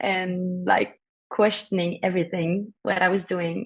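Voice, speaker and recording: At a moderate pace, a woman speaks in a medium pitch with a Norwegian accent. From Norway. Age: 20s. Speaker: singer-songwriter. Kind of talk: interview.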